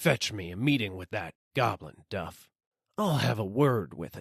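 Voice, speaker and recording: Over a quiet background, a man does a raspy put-on character voice at a fairly low pitch and a moderate pace. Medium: read story. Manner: slow, gruff, bossy.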